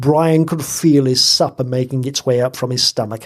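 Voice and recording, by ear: The text is read aloud in a natural voice.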